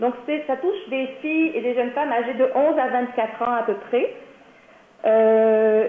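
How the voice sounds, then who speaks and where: A woman with a high pitch talks fairly slowly, using ordinary pitch variation. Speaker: workshop presenter for a nonprofit. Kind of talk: training presentation.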